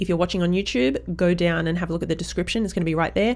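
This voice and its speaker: The speaker is a woman. Her accent is Australian. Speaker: parenting podcast host. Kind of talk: casual interview chat; podcast outro. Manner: animated.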